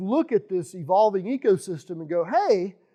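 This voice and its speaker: This man's voice has a dark, mellow tone and a high pitch. He speaks at a moderate pace. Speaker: software architect giving a talk. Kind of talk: technical lecture. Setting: meeting room with live audience. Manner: loud.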